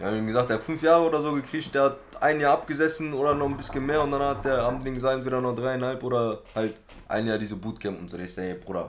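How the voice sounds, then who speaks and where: Over noticeable background noise, a man speaks at a very fast pace in a medium pitch. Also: ordinary pitch variation. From Germany, Duisburg (Ruhr area). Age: 20s. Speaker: former youth offender telling his life story. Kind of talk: casual chat.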